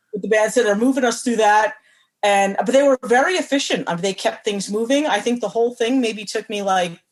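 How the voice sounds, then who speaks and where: With an American accent, a woman speaks at a fairly quick pace in a plain, everyday voice with ordinary pitch variation. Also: fairly high pitch for a woman. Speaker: horror writer. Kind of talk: casual chat.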